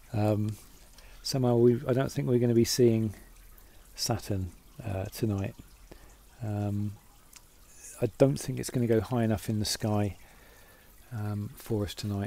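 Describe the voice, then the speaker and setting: A man mumbles at a fairly slow pace in a dark, mellow tone, his fairly low voice keeping a fairly even intonation, with long, frequent pauses and a dry sound that has no echo. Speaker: amateur astronomer. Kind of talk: casual talk to camera. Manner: mumbling, hesitant. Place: home room. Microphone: phone near.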